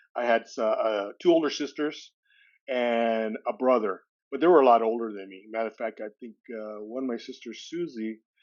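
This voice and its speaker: In an American accent, a man talks at a moderate pace and a medium pitch with ordinary pitch variation. His volume shows big swings. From California, US. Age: 60s. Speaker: podcast guest sharing recovery story. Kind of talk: interview testimony. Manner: halting, many fillers.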